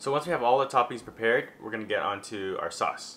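Light background noise sits behind the speaker. He is a man with ordinary pitch variation. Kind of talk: cooking tutorial. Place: kitchen.

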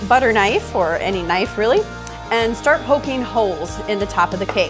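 With clear music in the background, a woman is talking. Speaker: cooking show host. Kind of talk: tutorial. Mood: cheerful and friendly. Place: kitchen.

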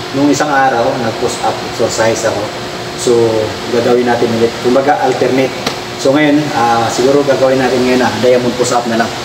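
Noticeable background noise sits behind a voice moving at a fairly quick pace. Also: man. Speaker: driver vlogger. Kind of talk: casual vlog chat. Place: garage. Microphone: phone near.

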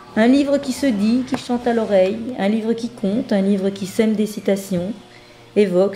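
A woman speaks at a moderate pace in a fairly high voice with ordinary pitch variation. Music plays in the background. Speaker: author reading her own manuscript. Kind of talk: reading aloud of own autobiographical book.

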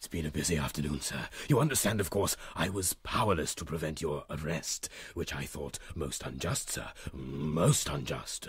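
At a moderate pace, a man speaks in a very deep, low pitch with ordinary pitch variation. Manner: florid, obsequious, repeats phrases.

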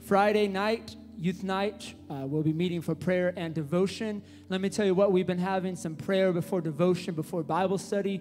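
Faint music plays behind a man with a high-pitched voice. He keeps an upbeat tone at a moderate pace. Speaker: church worship leader. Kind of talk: church announcements. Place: church. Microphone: handheld.

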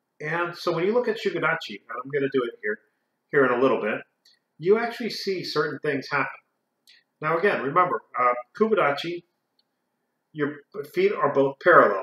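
A man with a high pitch and a bright, sharp tone speaks at a fairly quick pace with long, frequent pauses. Audible room echo can be heard. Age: 40s. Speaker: karate instructor and video creator; karate instructor, video creator. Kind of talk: educational talk to camera. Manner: halting.

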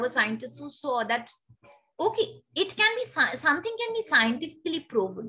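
Her voice is raised and projected, bright and sharp in tone. The woman's pitch swings very widely. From India. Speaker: teacher. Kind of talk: lecture. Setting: video call. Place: home room. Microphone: webcam.

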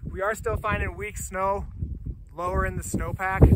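Over noticeable background noise, a man speaks in a raised, projected voice at a moderate pace. The sound is dry, with no echo. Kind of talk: field report. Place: open country.

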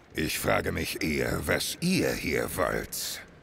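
A gruff, put-on character voice from a man, with clear background noise. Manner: gruff, insulting, threatening.

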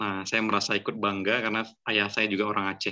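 A man's fairly low-pitched voice with a bright, sharp tone over a quiet background. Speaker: online writing class moderator. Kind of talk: moderating an online class. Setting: video call. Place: home room. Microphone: video call.

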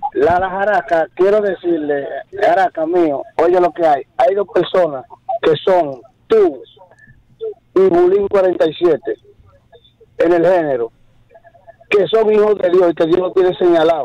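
Speaking at a very slow pace with long, frequent pauses, a man with a high pitch keeps his loudness very even and his pitch variation ordinary, in a dry sound with no echo. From Dominican Republic. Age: 50s. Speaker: radio caller. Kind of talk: call-in comment. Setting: phone call. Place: studio.

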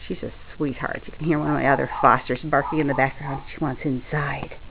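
Noticeable background noise accompanies a woman speaking at a moderate pace. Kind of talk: casual pet video narration. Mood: warm, affectionate. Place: home room. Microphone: phone near.

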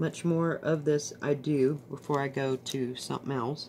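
Light background noise behind a woman at a fairly slow pace. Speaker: craft hobbyist vlogger. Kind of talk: casual vlog chat. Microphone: phone near.

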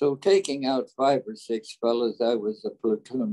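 Against a quiet background, a man with an American accent talks at a fairly slow pace in a dark, mellow tone with ordinary pitch variation. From California, USA. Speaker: war veteran, WWII paratrooper. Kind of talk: interview answer, war memories. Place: home room. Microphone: video call.

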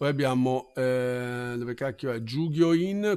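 A man speaks at a medium pitch with ordinary pitch variation. His is a plain, everyday voice. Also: very clean recording, silent background. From Milan, Italy. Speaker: Japanese language teacher. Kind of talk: live-streamed language lesson.

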